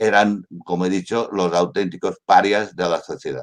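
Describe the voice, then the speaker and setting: At a fairly slow pace, a man talks. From Mallorca, Spain. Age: 70s. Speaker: journalist. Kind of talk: online talk, historical testimony.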